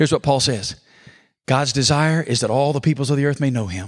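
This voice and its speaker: An energetic man speaks with an Alabama accent. The sound is dry and close with no echo, in a very clean recording with a silent background. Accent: Southern US (Alabama). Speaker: pastor. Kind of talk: conference breakout sermon, expository Bible teaching with call-and-response. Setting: conference room with live audience. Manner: energetic, folksy preacher cadence, drawing audience responses; rhetorical questions then emphatic punchlines.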